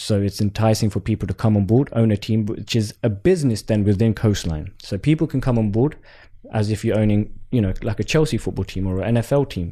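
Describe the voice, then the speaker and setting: The recording is very clean, with a silent background. A man with a fairly low pitch and a dark, mellow tone speaks at a very fast pace. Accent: London. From Southeast London. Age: 20s. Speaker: pro cricketer and entrepreneur. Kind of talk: casual interview.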